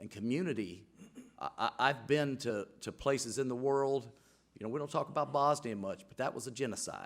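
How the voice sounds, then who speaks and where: At a fairly quick pace, a man with a medium pitch speaks in an Alabama accent. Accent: Southern US (Alabama). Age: 60s. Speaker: city council member. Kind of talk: council meeting speech. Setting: council chamber, microphone. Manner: halting, repeats words.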